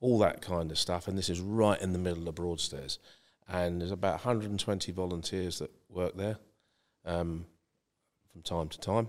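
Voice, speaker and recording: A man's very deep, low voice in a southeast English accent, at a moderate pace with long, frequent pauses and fairly even intonation, on a very clean recording with a silent background. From East Kent, England (Margate). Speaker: property consultant. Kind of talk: podcast interview.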